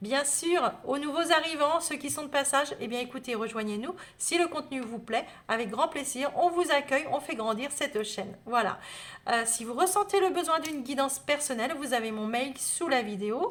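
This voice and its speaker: This woman's voice sits high in pitch. Her intonation is lively and her pace moderate. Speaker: tarot reader. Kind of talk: astrology guidance video. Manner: hesitant, many fillers.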